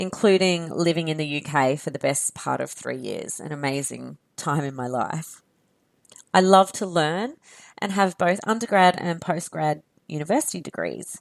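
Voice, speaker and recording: A woman with a very deep, low pitch and an Australian accent speaks at a moderate pace with lively intonation on a very clean recording with a silent background. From Australia, near Canberra. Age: 30s. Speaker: podcast host. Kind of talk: podcast monologue.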